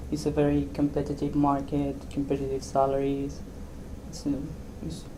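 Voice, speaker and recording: A woman speaks with an Argentine accent. Room echo is audible in the recording. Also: moderate pace. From Argentina. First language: Spanish. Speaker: software developer. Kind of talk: interview. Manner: halting.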